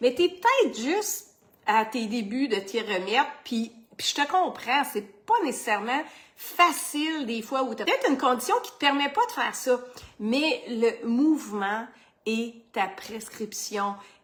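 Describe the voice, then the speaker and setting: Loud and lively in intonation, a woman with a Quebec accent speaks at a fairly slow pace in a high pitch over noticeable background noise. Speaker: fitness coach. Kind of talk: motivational vlog.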